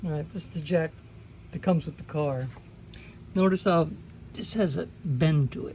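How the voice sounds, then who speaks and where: A woman with a very deep, low pitch speaks at a moderate pace with long, frequent pauses. Her tone is dark, mellow and somewhat breathy, with ordinary pitch variation. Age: 60s. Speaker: car hobbyist video maker. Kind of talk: tutorial. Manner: casual, conversational.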